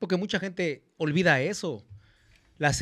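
A high-pitched man at a fairly slow pace against a quiet background. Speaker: panelist. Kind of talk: talk show commentary. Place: studio. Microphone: studio mic.

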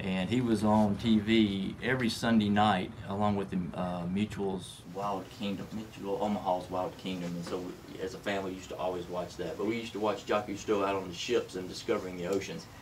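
A man with a Southern US accent talks at a fairly quick pace in a fairly low pitch, with fairly even intonation and hardly any pauses, over light background noise. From Tennessee (Gallatin, near Nashville); Tennessee. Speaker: manufacturing executive; podcast guest. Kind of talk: interview. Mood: warm, reflective. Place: studio.

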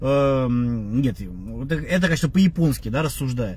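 A man is speaking. His pace is moderate. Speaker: martial arts blogger. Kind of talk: live stream monologue. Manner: halting with filler sounds.

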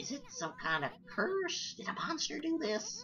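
Over clear background noise, a female-sounding put-on character voice moves at a moderate pace with very wide pitch swings. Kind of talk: streamer reading game dialogue aloud. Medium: game stream. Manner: chatty, brash.

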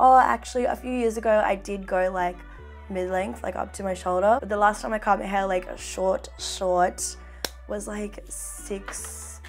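Upbeat in tone, a woman speaks at a fairly slow pace with big swings in loudness as clear music plays in the background. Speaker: beauty vlogger. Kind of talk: casual chatty makeup talk to camera. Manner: chatty, upbeat. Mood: chatty, relaxed.

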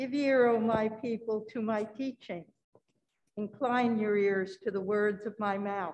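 Here is a woman with an unremarkable speaking voice. She talks at a fairly slow pace with fairly even intonation. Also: fairly high pitch for a woman. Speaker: lay reader. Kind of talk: scripture reading. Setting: church. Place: church.

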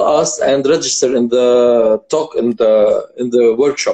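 A man's dark, mellow tone with lively intonation over a quiet background. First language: Arabic. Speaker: vocal coach and show host; vocal coach, show host. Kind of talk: live interview stream. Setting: video call. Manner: animated. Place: home room. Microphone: phone near.

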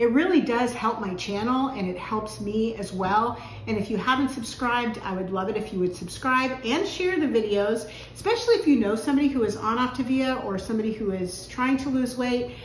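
A woman speaks at a fairly quick pace with ordinary pitch variation. Audible room echo and light background noise surround her. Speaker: home cooking vlogger. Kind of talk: casual vlog chat. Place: kitchen. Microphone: camera far.

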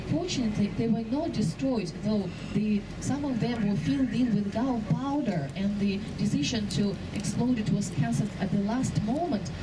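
The pace is moderate. Background noise is noticeable. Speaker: tour guide. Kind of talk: live guided boat-tour narration pointing out passing sights to tourists. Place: boat.

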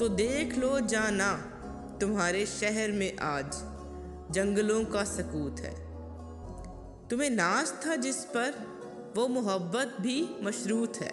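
Lively intonation marks this woman's fairly high-pitched voice. Music plays in the background. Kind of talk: poetry reading.

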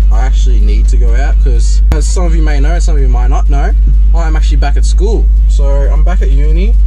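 A man speaks at a moderate pace with clear music playing in the background. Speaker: vlogger. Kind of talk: casual vlog chat. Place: car. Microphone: phone near.

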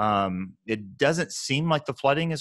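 This man's intonation is lively and his pace moderate. His voice sounds dry, with no echo. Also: quiet background. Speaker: podcast co-host. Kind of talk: podcast discussion. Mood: earnest, reflective. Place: home room. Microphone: earbuds.

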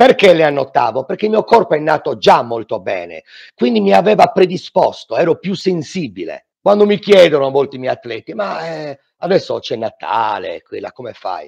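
A man speaks at a moderate pace with big swings in loudness over a quiet background. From Sardinia. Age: 40s. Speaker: fitness instructor. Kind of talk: testimony. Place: home room. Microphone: headset.

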